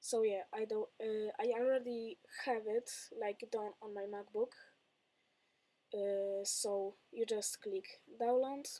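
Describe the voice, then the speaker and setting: In a Polish accent, a woman speaks at a very slow pace with a fairly high pitch, a dark, mellow tone, ordinary pitch variation, and long, frequent pauses. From Poland. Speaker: tech youtuber. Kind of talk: tutorial. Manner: halting.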